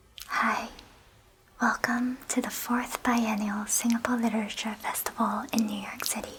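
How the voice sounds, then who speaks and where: Amid noticeable background noise, a woman with a calm, soothing tone speaks at a moderate pace with fairly even intonation. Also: fairly high pitch for a woman. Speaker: ASMR artist and virtual festival guide. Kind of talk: welcoming festival guide introduction, calm and soothing. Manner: calm, soft-spoken, soothing.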